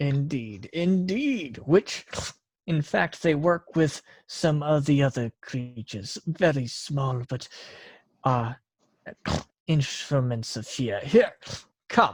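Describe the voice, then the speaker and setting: A man's put-on character voice, fairly high in pitch, at a very slow pace with long, frequent pauses, on a very clean recording with a silent background. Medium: actual play. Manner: formal, measured.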